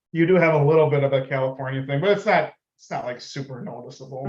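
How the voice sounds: Speaking very fast with a northern US accent, a man at fairly high pitch shows ordinary pitch variation and big swings in loudness.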